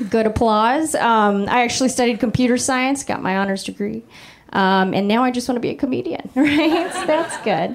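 Noticeable background noise and audible room echo surround a woman speaking fairly slowly in a high voice with lively intonation. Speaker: stand-up comedian. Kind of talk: stand-up. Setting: stage with audience.

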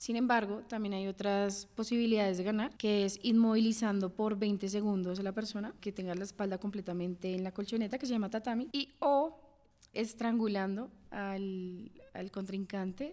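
A woman speaks with a dark, mellow tone at a medium pitch. Her pace is moderate and her intonation fairly even. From Bogotá, Colombia. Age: 20s. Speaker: judo athlete. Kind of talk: interview.

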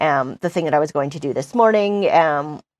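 A woman with a Canadian accent and an unremarkable speaking voice talks at a moderate pace and a fairly low pitch, with ordinary pitch variation in a dry, close sound with no echo. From British Columbia, Canada. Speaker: business news journalist. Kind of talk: casual interview.

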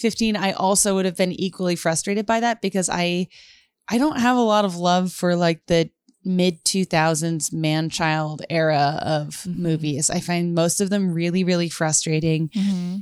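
The woman, in an unremarkable speaking voice, talks at a moderate speed with normal pitch movement on a very clean recording, with a silent background. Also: fairly low pitch for a woman. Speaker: comedian and writer. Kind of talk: casual chat.

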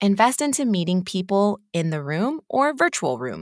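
In a very clean recording with a silent background, a woman with a medium pitch speaks at a moderate pace in an upbeat, animated tone with very wide pitch swings. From California, US. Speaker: podcast host and business owner. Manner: upbeat, animated, encouraging.

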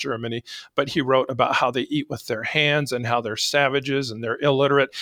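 An unremarkable speaking voice from a man with an American accent, medium pitch, fairly even intonation and a fairly quick pace, dry and close with no echo in a very clean recording over a silent background. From Arizona. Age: 60s. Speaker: sheriff. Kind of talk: interview conversation.

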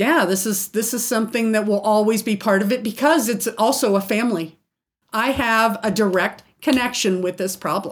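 Using ordinary pitch variation, a woman speaks at a moderate pace with a fairly high pitch. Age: 50s. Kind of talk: interview. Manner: halting.

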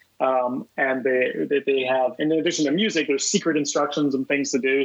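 This man has a normal speaking voice at a fairly high pitch. He talks at a fairly quick pace. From US South, Columbia, South Carolina. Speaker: comedy prank organizer and filmmaker. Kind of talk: podcast interview, casual chat. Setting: phone call.

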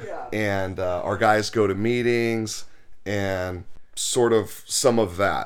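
Amid noticeable background noise and audible room echo, a man with an American accent speaks very slowly at a fairly low pitch in a flat monotone. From Los Angeles. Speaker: sober living house founder. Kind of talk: casual interview. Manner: halting, many repeated words.

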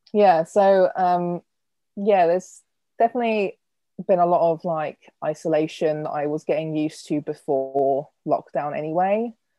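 A woman with an English accent talks at a moderate pace in a fairly low pitch, her pitch varying in an ordinary way. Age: 20s. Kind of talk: interview.

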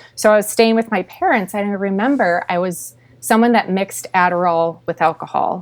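Here is a normal speaking voice at a moderate pace. Its pitch variation is ordinary. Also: woman. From Minnesota. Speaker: sober coach. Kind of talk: testimony.

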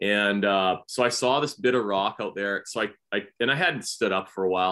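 A man with a fairly low pitch speaks at a moderate pace with ordinary pitch variation. His tone is bright and sharp, and the recording is very clean with a silent background. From Canada. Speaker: professional bass angler. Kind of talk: casual chat.

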